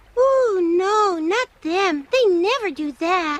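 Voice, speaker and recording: This cartoonish character voice sits at an extremely high pitch and moves at a very slow pace. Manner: earnest, wistful.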